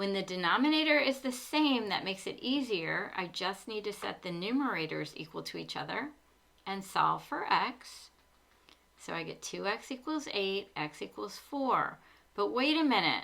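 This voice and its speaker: A woman with a bright, sharp tone and some vocal fry speaks at a moderate pace. Her pitch sits in the medium range and swings very widely. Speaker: math tutor. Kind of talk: tutorial.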